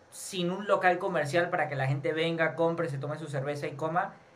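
A man's fairly high voice in audible room echo. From Venezuela. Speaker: podcast host. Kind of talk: interview.

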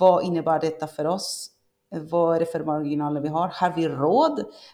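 A woman talks at a moderate pace. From Argentina. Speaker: e-commerce expert, marketing coordinator. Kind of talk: interview. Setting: remote call from Argentina. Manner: hesitant, many fillers.

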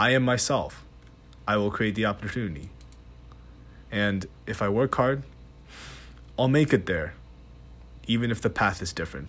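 A man at fairly low pitch with vocal fry, lively intonation, a moderate pace and long, frequent pauses. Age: young. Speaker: student podcaster. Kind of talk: solo voice memo monologue. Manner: hesitant, halting; shaky voice.

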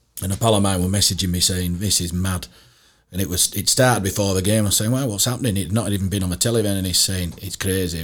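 A man with a Yorkshire accent talks at a very fast pace. His pitch is fairly low, with ordinary variation. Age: 50s. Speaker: former rugby league coach. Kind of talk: casual interview chat. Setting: studio.

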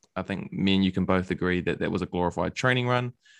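A man speaks very fast with ordinary pitch variation, and the sound is dry and close with no echo. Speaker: podcast host. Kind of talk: casual interview chat.

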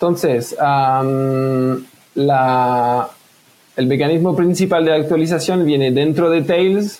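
A man with a French accent speaks at a very slow pace and a fairly high pitch. His loudness stays very even, and his pitch varies in an ordinary way. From France. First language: French (speaking Spanish). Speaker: privacy software developer. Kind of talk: casual interview. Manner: hesitant, many fillers.

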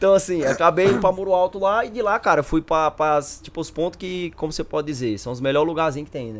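The speaker here is male. His words come out very fast. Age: 20s. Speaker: gamer guest. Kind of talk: casual chat.

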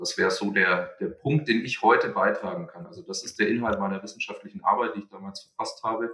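A man talks at a very fast pace with hardly any pauses. His loudness swings in big jumps. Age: 30s. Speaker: entrepreneur and researcher. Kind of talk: podcast interview. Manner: halting, many fillers.

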